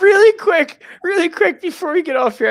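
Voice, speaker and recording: The speaker talks at a fairly quick pace in an American accent. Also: man. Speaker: sports podcast host. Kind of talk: show sign-off; casual chat.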